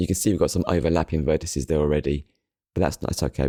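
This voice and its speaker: A man's very deep, low voice with vocal fry and fairly even intonation, in a dry, close sound with no echo and a very clean recording with a silent background. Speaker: 3D art tutorial creator. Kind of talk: tutorial. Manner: fast.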